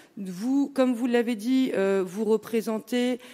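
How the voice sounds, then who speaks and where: This woman's voice has a dark, mellow tone and lively intonation. She speaks at a fairly slow pace. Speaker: opposition municipal councillor. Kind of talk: municipal council debate. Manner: halting.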